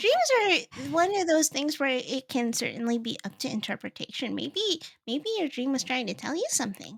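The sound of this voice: In a put-on character voice, a woman talks high and at a moderate pace with vocal fry. Her pitch swings a lot.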